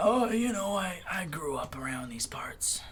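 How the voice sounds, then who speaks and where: A man's raspy, put-on character voice at a high pitch and moderate pace. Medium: actual play. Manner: drawling, laid-back.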